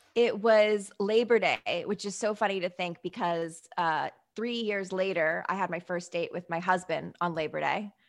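A woman with an American accent and a normal speaking voice talks at a medium pitch. Her pace is moderate, with hardly any pauses and fairly even intonation. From US Northeast. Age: 30s. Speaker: online show host and author. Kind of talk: casual interview chat. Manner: chatty, laughs often.

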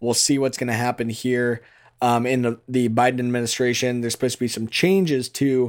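In an ordinary speaking voice, a man with an American accent talks at a fairly quick pace and medium pitch. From Iowa. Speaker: farmer and podcast host. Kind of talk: casual chat.

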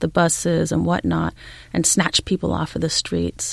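With a Californian accent, a woman speaks. Her pace is moderate. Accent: General American (Californian). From California, US (San Diego). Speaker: historian. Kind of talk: interview.

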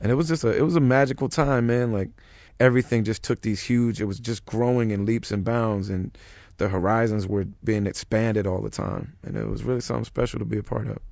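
A man speaks with an American accent at a very fast pace. His pitch varies in an ordinary way. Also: medium pitch for a man. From US Midwest. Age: 30s. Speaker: rapper. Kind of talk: interview.

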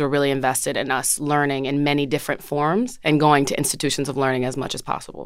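Her pitch sits very deep and low. This woman speaks at a very fast pace. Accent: American. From New Jersey, Orange near Newark. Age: 20s. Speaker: curator and writer. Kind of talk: interview. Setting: studio.

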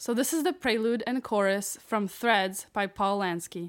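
Over a very clean recording with a silent background, a woman uses a plain, everyday voice at a medium pitch, fairly slow, with ordinary pitch variation. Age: 20s. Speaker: percussionist. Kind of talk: casual chat.

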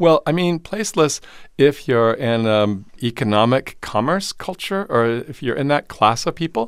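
A plain, everyday voice from a man at medium pitch, lively intonation and a moderate pace, on a very clean recording with a silent background. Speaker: theater and voice professor. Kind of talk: interview. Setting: studio in Los Angeles.

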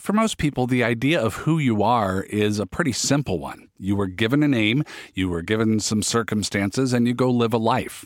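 At a moderate pace with hardly any pauses, an ordinary speaking voice with an American accent shows ordinary pitch variation. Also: man, medium pitch for a man. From US Pacific Northwest, Federal Way. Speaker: podcast host. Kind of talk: interview with scripted narration. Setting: studio.

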